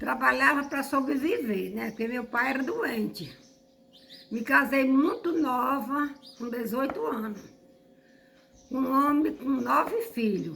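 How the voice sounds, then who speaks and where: A woman with a high pitch speaks at a very slow pace, with lively intonation and long, frequent pauses. Audible room echo surrounds her voice. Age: 70s. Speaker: elderly resident. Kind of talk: documentary interview.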